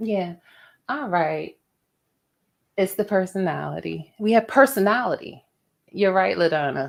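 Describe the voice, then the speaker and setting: A woman's animated voice at a fairly slow pace, with long, frequent pauses, on a very clean recording over a silent background. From Philadelphia, North Philly. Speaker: podcast co-host. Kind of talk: casual chat. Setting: live stream.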